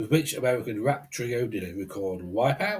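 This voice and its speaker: A man speaks with a British accent at medium pitch, his voice somewhat breathy. His pitch swings very widely at a moderate pace. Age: 60s. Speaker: quiz host and musician. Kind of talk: reading quiz questions.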